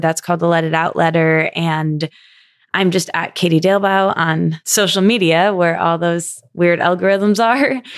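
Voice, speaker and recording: A normal speaking voice from a woman, fairly low in pitch, with an American accent, fairly even intonation and a moderate pace, on a very clean recording with a silent background. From US Midwest. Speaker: podcaster and guest interviewer. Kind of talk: interview conversation.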